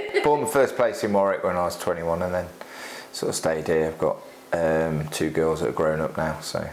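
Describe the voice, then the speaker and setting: A man with a West Midlands accent, with audible room echo and noticeable background noise. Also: fairly quick pace. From West Midlands, England (Solihull). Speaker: gin distillery owner. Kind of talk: casual chat. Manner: hesitant, with many fillers.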